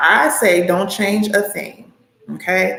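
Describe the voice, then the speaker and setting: The speaker has an American accent. Audible room echo fills the recording. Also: woman. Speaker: acting coach. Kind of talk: live Q&A stream. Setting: livestream from home. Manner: animated.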